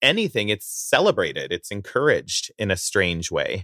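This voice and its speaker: A man with a Canadian accent talks at a fairly slow pace and a fairly low pitch. His tone is bright and sharp, and the sound is dry and close with no echo. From Southern Alberta, Canada. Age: 30s. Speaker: singer-songwriter. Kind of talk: casual interview. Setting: video call.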